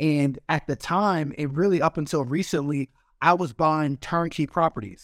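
In a very clean recording with a silent background and a dry, close sound free of echo, a man with an American accent speaks in a normal speaking voice at a moderate pace, his pitch fairly high with ordinary variation. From Arizona. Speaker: NFL player and real estate investor. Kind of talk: interview.

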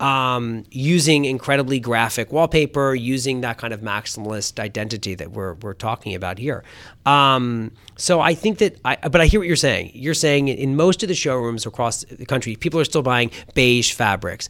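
A man talks at a moderate pace and medium pitch in a normal speaking voice, with lively intonation. The recording is very clean, with a silent background. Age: 30s. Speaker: magazine editor. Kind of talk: interview. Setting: office.

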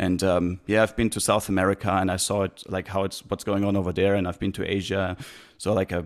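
A man in a German accent speaks at a fairly quick pace. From Germany, near Heidelberg. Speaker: traveller and podcaster. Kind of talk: interview. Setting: video call. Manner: halting, many fillers.

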